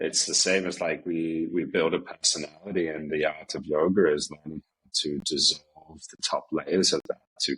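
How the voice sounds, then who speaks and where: A man with an Australian accent talks at a moderate pace. The sound is dry and close, with no echo. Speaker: yoga teacher. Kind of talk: casual chat.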